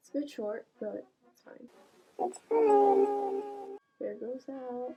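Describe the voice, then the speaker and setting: Quiet and at a very slow pace, a woman speaks in an extremely high pitch that makes very wide swings. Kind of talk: casual talk to camera. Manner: quiet, voice kept down.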